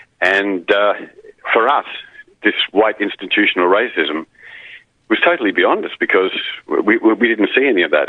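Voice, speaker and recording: A man with an Australian accent talks at a moderate speed. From Queensland, Australia. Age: 60s. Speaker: caller, retired radio broadcaster. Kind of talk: call-in radio chat. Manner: halting, repeats words.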